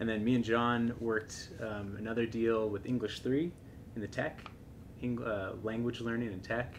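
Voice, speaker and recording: Light background noise sits behind a man with an American accent. His medium-pitched voice is monotone and flat, at a moderate pace. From Seattle, Washington. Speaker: tech startup co-founder. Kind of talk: interview podcast. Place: home room.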